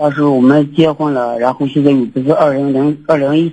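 A man talks at a fairly quick clip with a dark, mellow tone and a fairly high pitch. His intonation stays fairly even. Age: 30s. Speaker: radio call-in listener. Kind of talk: casual chat.

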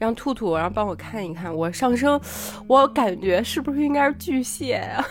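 A woman at a fairly high pitch with very wide pitch swings, a moderate pace and noticeable background noise. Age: 30s. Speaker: podcast co-host. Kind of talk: casual chat.

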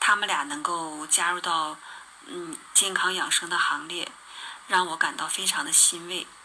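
A woman talks in a fairly low pitch at a fairly slow pace. Noticeable background noise is present. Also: ordinary pitch variation. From Northeast China (Harbin). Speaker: radio show listener. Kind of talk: testimony.

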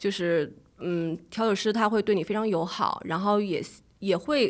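A woman with a normal speaking voice speaks at medium pitch with ordinary pitch variation. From Beijing. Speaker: travel and food blogger. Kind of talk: casual interview.

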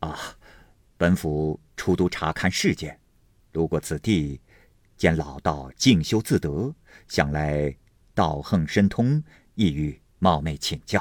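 In a put-on character voice, a man talks at a slow pace with an extremely low pitch, a slightly mellow tone, lively intonation and long, frequent pauses, on a very clean recording with a silent background.

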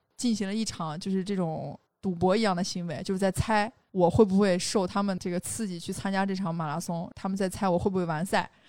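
In a very clean recording with a silent background, a woman talks at a fairly quick pace and medium pitch in an ordinary speaking voice with fairly even intonation. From Xinjiang, China. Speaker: outdoor industry worker and podcaster. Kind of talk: casual chat.

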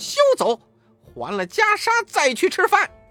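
Faint music plays behind a fairly bright put-on character voice that moves at a fairly slow pace with very wide pitch swings, the sound dry and close with no echo.

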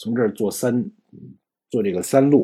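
A man speaks with vocal fry and very wide pitch swings. The recording is very clean, with a silent background. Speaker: Japanese language teacher. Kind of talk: lecture.

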